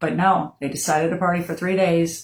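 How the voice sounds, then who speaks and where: Somewhat breathy, the voice has an American accent, fairly even intonation and a moderate pace. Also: woman. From Florida. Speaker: bereaved mother sharing her story. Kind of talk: personal testimony. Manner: unrehearsed, with many fillers.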